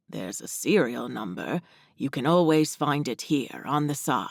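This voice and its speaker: Putting on a character voice, a man sounds raspy and fairly high in pitch, with big swings in loudness on a very clean recording with a silent background. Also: moderate pace, lively intonation. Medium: read story. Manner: polite, gentle, slightly formal.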